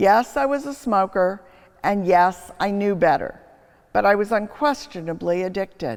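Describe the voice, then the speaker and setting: A woman speaks at a fairly slow pace with very wide pitch swings. The recording is very clean, with a silent background. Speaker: preacher, history professor. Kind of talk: homily, preaching reflection.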